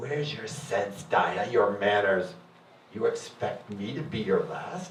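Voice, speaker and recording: A man's raspy put-on character voice at medium pitch, fairly slow, with very wide pitch swings and a slight echo. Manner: reproachful, indignant.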